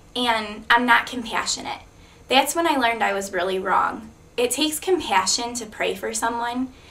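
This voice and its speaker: A woman at a fairly high pitch with lively intonation and a moderate pace, plus audible room echo. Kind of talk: testimony. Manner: loud; blunt.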